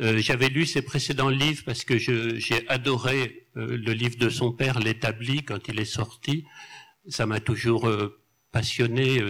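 A man speaks at a very slow pace in a medium pitch with fairly even intonation, on a very clean recording with a silent background. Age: 70s. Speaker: novelist and journalist. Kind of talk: public literary talk. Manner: halting, repeating words.

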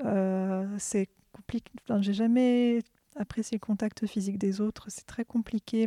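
A woman speaks at a fairly high pitch and a fairly slow pace, her intonation monotone and flat. The sound is dry and close, with no echo. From France, Orléans. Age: 20s. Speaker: workshop participant. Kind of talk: personal testimony.

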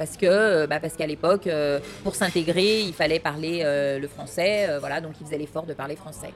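A woman speaks at a moderate pace with a very deep, low pitch and ordinary pitch variation. Music plays in the background. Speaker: ice cream shop owner. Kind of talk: interview.

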